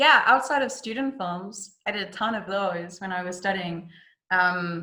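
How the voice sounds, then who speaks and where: The tone is bright and sharp, with ordinary pitch variation. Delivery comes at a fairly slow pace. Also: woman, medium pitch for a woman. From South Africa. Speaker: actress. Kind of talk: interview. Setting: video call.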